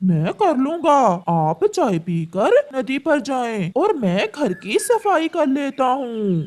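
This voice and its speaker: A high-pitched cartoonish character voice with very wide pitch swings at a fairly slow pace. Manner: meek, soft-spoken.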